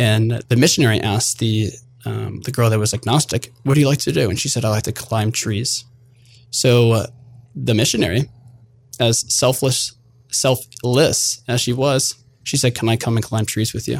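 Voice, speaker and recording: A man speaks at a moderate pace in a medium pitch with fairly even intonation and vocal fry. The recording is very clean, with a silent background. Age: 20s. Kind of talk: interview.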